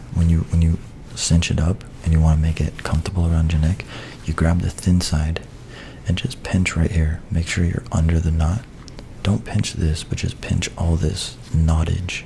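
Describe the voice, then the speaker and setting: A soft-spoken man with a very deep, low voice keeps very even loudness, fairly even intonation and a moderate pace over noticeable background noise. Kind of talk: soft-spoken ASMR tutorial to camera. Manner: soft-spoken, casual, friendly.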